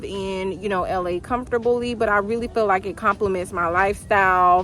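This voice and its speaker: A woman speaking at a moderate pace with ordinary pitch variation, over noticeable background noise. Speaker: vlogger. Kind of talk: casual chat. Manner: casual, filler-heavy.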